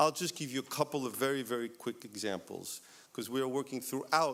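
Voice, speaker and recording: This man's voice sits at a medium pitch, and he moves along at a fairly quick pace. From West Virginia. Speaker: university administrator. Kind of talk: speech to audience.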